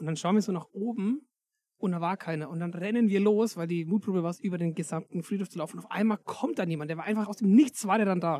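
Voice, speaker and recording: The speaker has a Berlin accent and an animated tone. The delivery is very fast. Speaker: podcast host. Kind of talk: casual chat. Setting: in a sheep stall.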